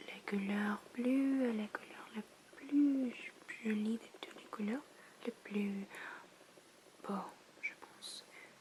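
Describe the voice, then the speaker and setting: Whispering and soft-spoken, the speaker moves at a very slow pace with long, frequent pauses. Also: woman. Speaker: ASMR content creator. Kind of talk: ASMR language lesson, soft-spoken word repetition. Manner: soft-spoken, whispered, up-close.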